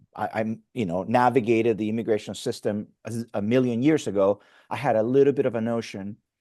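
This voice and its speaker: A man speaks at a fairly quick pace, his pitch medium and his tone dark and mellow. His intonation stays fairly even. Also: quiet background. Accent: Spanish. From Mexico. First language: Spanish. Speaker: pastor. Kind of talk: interview conversation. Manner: halting, frequent fillers and restarts.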